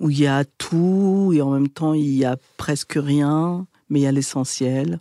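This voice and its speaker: This woman has a very deep, low voice with a dark, mellow tone and very even loudness. The recording is very clean, with a silent background and a dry, close sound with no echo. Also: ordinary pitch variation, fairly slow pace. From France, Essonne (91) suburbs. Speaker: documentary filmmaker and podcaster. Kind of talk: interview. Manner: hesitant, many fillers.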